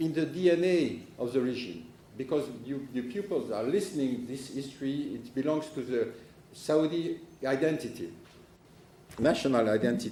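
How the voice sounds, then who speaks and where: A man with a strong French accent, medium pitch, moderate pace and lively intonation, amid noticeable background noise and audible room echo. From France. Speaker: political analyst. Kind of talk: conference talk. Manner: halting.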